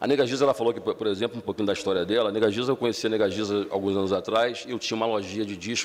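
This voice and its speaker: A man speaks at a very fast pace. His voice is fairly low, with fairly even intonation. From Baixada Fluminense, Rio de Janeiro, Brazil. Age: 40s. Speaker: social activist. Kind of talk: public talk. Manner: halting, with many repetitions.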